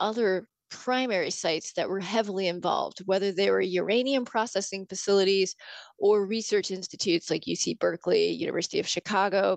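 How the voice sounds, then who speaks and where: A woman with a plain, everyday voice and an American accent, medium-pitched with ordinary pitch variation, at a fairly quick pace, in a dry, close recording with no echo and a quiet background. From Arizona, Yuma. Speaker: park ranger. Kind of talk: casual interview.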